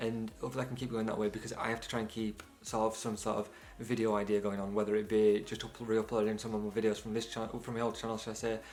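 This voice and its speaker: Over noticeable background noise, a man with a British accent speaks very fast at a fairly low pitch. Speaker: videographer and photographer, YouTuber. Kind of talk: channel intro vlog. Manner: casual, energetic.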